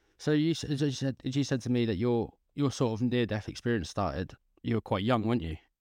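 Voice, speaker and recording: Over a quiet background, a man with an English accent speaks very fast at a medium pitch, his intonation lively. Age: 20s. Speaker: podcast host. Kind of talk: casual interview. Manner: halting.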